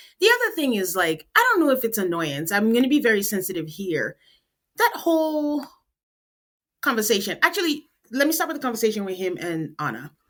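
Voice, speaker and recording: A woman speaks in a fairly high pitch with a Nigerian accent, her pitch swinging very widely. The recording is very clean, with a silent background. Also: fairly quick pace. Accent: Nigerian accent, noticeable. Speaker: podcast host. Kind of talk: casual chat. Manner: animated.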